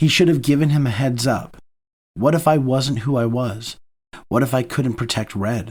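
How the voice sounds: Behind this natural reading voice, the background stays quiet. Nothing else intrudes.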